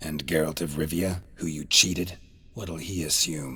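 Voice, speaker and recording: A man's put-on character voice, growling and very deep, at a moderate pace. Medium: video game. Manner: terse, dry.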